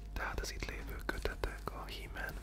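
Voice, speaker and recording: A soft-spoken man whispers at a very slow pace over noticeable background noise. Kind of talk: ASMR whispered talk with book showing. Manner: whispered, soft-spoken.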